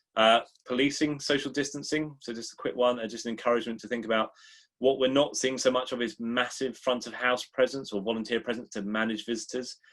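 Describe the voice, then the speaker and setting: A man talks at a very fast pace. His pitch is medium and his intonation fairly even. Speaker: museum consultant and workshop presenter. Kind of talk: webinar presentation.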